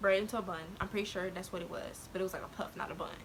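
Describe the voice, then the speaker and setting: A soft-spoken woman's voice at medium pitch, fairly quick in pace, with monotone, flat intonation. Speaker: YouTuber. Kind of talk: storytelling vlog. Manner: hesitant.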